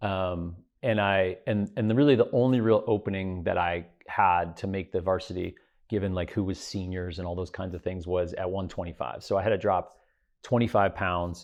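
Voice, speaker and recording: Someone with an American accent talks at a moderate pace with fairly even intonation. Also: man, very deep, low pitch for a man. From US Midwest. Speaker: private equity investor and business lecturer. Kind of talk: interview conversation. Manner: halting, many repetitions and fillers.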